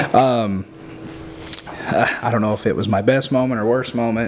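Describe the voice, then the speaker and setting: A man with an American accent, fairly low-pitched, at a moderate pace, with fairly even intonation over noticeable background noise. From southern Illinois. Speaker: barbecue pitmaster. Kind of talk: casual chat.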